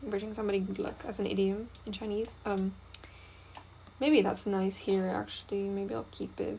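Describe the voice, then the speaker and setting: This is a woman speaking. She has a non-native accent. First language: not English. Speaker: graphic designer. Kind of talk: design tutorial think-aloud. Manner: casual, hesitant with fillers.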